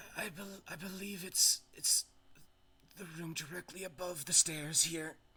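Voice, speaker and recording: A put-on character voice comes through quiet and raspy at a middle pitch. The pace is moderate. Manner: hushed.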